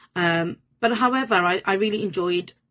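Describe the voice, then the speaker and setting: A woman with a Birmingham accent, medium pitch and ordinary pitch variation. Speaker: manifestation coach. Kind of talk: personal storytelling monologue. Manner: casual, filler-heavy.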